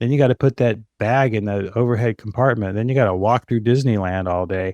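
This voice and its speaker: A man's normal speaking voice at medium pitch, fairly quick in pace, over a quiet background. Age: 60s. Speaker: fitness marketing expert. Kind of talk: interview. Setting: podcast.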